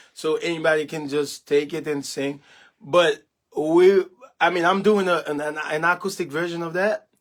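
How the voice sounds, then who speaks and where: Fairly even intonation with a Haitian accent. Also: man. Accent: Haitian Creole. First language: Haitian Creole. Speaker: gospel musician. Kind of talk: casual livestream chat. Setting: home studio. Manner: halting, many fillers.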